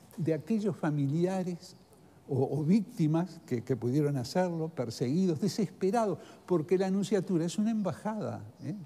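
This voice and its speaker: At a moderate pace, a man speaks high in pitch with a dark, mellow tone and lively intonation. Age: 80s+. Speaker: former ambassador. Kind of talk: TV interview. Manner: halting.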